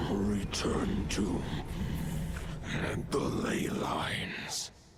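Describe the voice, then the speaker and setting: Amid loud background noise, a man performs a growling, put-on character voice at a fairly low pitch. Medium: cartoon. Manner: slow, solemn.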